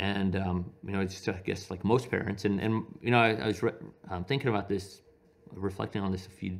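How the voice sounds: A man talks at a fairly quick pace with a low pitch and vocal fry. He has an American accent and fairly even intonation.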